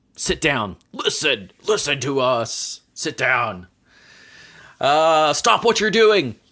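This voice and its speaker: In a gruff put-on character voice, a man speaks at a very slow pace and fairly high pitch with very wide pitch swings, on a very clean recording with a silent background. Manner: angry, commanding.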